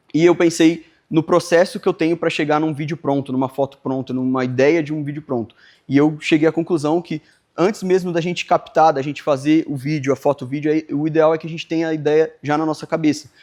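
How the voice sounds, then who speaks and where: Over a quiet background, a man talks at a fairly quick pace with fairly even intonation, the sound dry and close with no echo. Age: 20s. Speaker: video editor and workshop instructor. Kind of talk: workshop lecture. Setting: live workshop with audience. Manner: halting, with frequent fillers.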